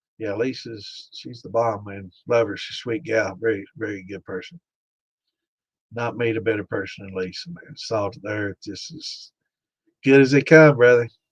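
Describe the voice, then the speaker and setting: Big swings in loudness mark this man's voice, which has a medium pitch, ordinary pitch variation and a moderate pace. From US, Pike County. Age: 60s. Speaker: home distiller and livestream host. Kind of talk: live-stream Q&A chat. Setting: live stream. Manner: casual, halting with fillers.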